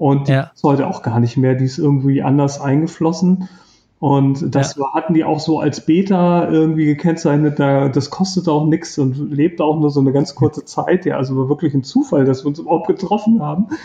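The voice has a dark, mellow tone and is somewhat breathy. It moves at a fairly quick pace. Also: man, fairly high pitch for a man, ordinary pitch variation. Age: 50s. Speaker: self-employed in personal development. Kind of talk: interview, personal love story.

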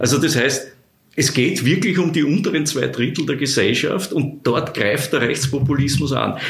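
At a moderate pace, a man with a fairly high, somewhat breathy voice keeps his loudness very even and his pitch variation ordinary. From Austria (Vienna). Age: 50s. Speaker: social scientist. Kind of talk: interview. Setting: office. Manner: halting, many repetitions.

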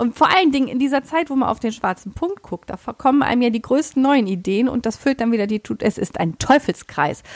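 Speaking with hardly any pauses, a woman uses a high pitch and lively intonation, recorded dry and close with no echo. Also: fairly quick pace. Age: 30s. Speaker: sewing blogger and pattern designer. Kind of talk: casual chat.

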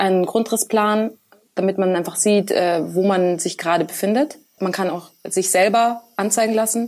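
A woman speaks in an unremarkable speaking voice at a moderate pace with ordinary pitch variation. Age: 20s. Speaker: computer science student and working student developer. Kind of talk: casual interview.

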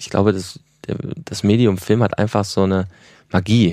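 The tone is dark and mellow. The pace is moderate. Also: man. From Germany, Ruhr area. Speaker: film director and producer. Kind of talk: interview.

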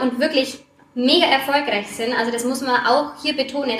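A woman speaks at a high pitch and a moderate pace in a passionate tone, her intonation fairly even, with audible room echo and noticeable background noise. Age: 30s. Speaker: primary school teacher and network marketer. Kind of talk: interview.

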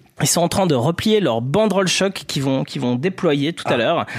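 A man's fairly high voice with lively intonation, a plain, everyday voice. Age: 40s. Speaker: sports journalist. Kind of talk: comedic football podcast chat.

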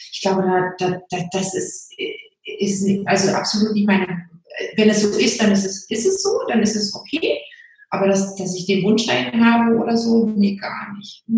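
At a moderate pace, a woman speaks in an unremarkable speaking voice of medium pitch with fairly even intonation. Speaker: Facebook group founder. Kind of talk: interview.

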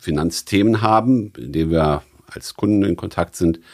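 The intonation is lively as this man talks. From Rhineland, Germany (born in Stuttgart). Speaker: financial entrepreneur. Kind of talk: interview. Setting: jazz club. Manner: hesitant with fillers.

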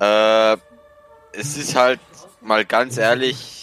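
This man has a fairly low voice with ordinary pitch variation. The sound is dry and close with no echo, with noticeable background noise. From rural Austria. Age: 18. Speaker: electrician. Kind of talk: casual chat.

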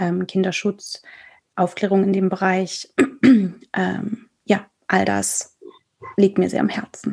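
A woman's very slow delivery is broken by long, frequent pauses. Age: 30s. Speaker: theatre director and author. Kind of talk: casual chat. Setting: video call.

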